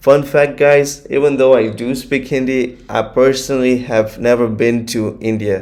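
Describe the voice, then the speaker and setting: A man with a Gujarati accent speaks at a moderate pace, his medium pitch moving in a fairly even intonation. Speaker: YouTube reaction creator. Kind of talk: casual vlog commentary. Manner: hesitant, filler-heavy.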